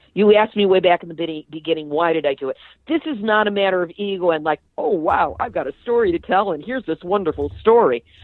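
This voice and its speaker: A woman talks at a very fast pace. There are hardly any pauses. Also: medium pitch for a woman, lively intonation. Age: 60s. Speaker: nuclear activist, podcast host and author. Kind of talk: interview. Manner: animated.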